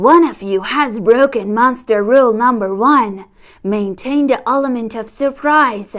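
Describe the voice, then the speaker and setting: Doing a put-on character voice, a woman speaks at a moderate pace with a fairly high pitch. The recording is very clean, with a silent background. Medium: read story. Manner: formal, instructive.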